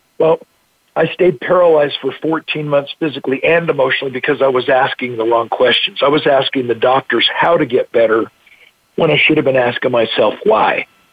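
A man talks at a fairly quick pace in a plain, everyday voice. His pitch is fairly high, with ordinary variation. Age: 60s. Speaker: motivational speaker. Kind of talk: interview.

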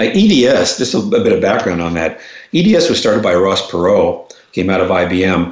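Speaking at a moderate pace with an American accent, a man is heard amid noticeable background noise and audible room echo. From New York, Long Island. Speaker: educator and consultant. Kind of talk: interview.

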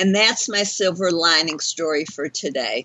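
The speaker is a woman with a fairly low pitch. Noticeable background noise is present. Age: 60s. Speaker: talk radio host, life coach. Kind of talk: radio show hosting. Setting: internet radio studio.

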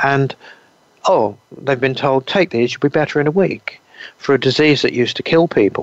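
The recording of a man with an English accent is dry and close with no echo. He leaves long, frequent pauses. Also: ordinary pitch variation, moderate pace. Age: 60s. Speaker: naturopath. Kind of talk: interview.

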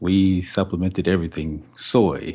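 A man with a Texan accent, a very deep, low pitch and a dark, mellow tone, speaking at a fairly slow pace with fairly even intonation against a quiet background. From Texas, Fort Worth area. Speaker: naturopathic doctor. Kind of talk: casual radio interview. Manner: halting.

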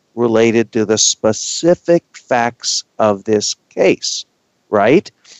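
A man with an American accent speaks at a very slow pace. His intonation is lively. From Texas. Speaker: law school dean and radio co-host. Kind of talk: casual discussion on legal topics.

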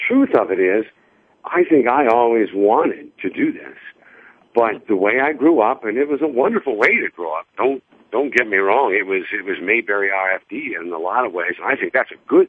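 A man talks at a moderate pace. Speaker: soap opera actor. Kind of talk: interview.

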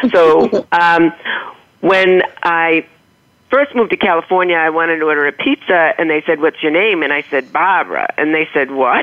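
Her loudness very even, a woman with a slight Boston accent speaks at a fairly low pitch with ordinary pitch variation. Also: moderate pace. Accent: slight Boston accent, non-rhotic. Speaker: author. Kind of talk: interview anecdote.

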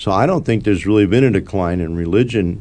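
In an American accent, a man speaks with a very deep, low pitch. His tone is dark and mellow, with ordinary pitch variation. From Arizona. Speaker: city councilman. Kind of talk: radio interview.

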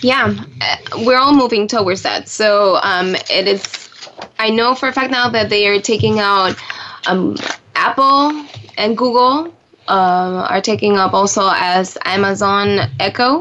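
A woman at a medium pitch talks at a fairly slow pace with ordinary pitch variation and very even loudness, while noticeable background noise sits behind her. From Puerto Rico. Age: 30s. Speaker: tech show guest. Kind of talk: radio interview.

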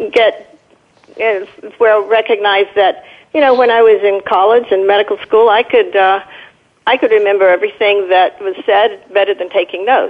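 With an American accent, a woman uses a plain, everyday voice at a fairly high pitch with ordinary pitch variation. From Southern California. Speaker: caller, trained in medicine. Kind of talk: call-in radio talk. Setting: phone call.

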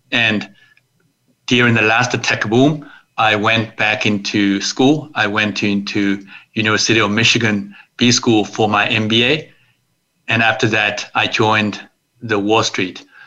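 A man's fairly low, bright, sharp voice at a fairly slow pace, with fairly even intonation and very even loudness. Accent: Chinese. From China, Suzhou near Shanghai. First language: Chinese. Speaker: investor, attorney and author. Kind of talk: interview.

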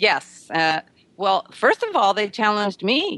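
This is a woman at a medium pitch. She has an ordinary speaking voice. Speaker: author. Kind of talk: radio interview.

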